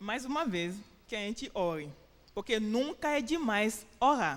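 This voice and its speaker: This woman talks at a fairly slow pace with a fairly high pitch. Her intonation is lively. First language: French or English (Portuguese learned in Brazil) (speaking Portuguese). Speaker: preacher. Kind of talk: sermon. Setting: church. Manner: halting.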